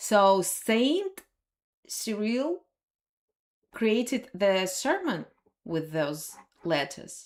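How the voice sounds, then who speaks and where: A woman with a Russian accent speaks with very wide pitch swings. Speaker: language teacher. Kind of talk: live stream lesson. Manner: halting.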